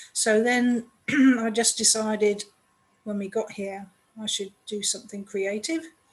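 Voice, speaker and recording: A woman with an English accent speaks fairly slowly at a fairly high pitch, her intonation fairly even and her pauses long and frequent. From England. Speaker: children's book author. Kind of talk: podcast interview.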